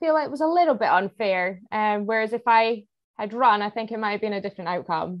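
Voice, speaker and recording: A woman speaks with a Scottish accent at a moderate pace. Her intonation is lively. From Scotland. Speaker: obstacle course racer. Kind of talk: podcast interview answer.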